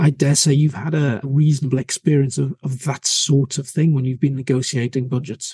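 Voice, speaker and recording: At a fairly quick pace, a man with a fairly high, somewhat breathy voice and a dark, mellow tone speaks with fairly even intonation, the sound dry and close with no echo. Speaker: podcast host. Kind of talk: interview.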